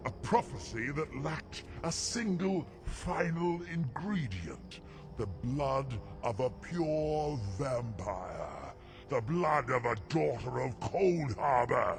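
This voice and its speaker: A man uses a put-on character voice at a fairly high pitch and a very slow pace. Clear music plays in the background. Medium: machinima. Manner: arrogant, scornful.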